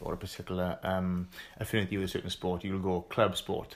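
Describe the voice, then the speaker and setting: At a fairly quick pace, a man talks in a normal speaking voice with a fairly low pitch. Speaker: podcast host. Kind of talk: casual interview chat.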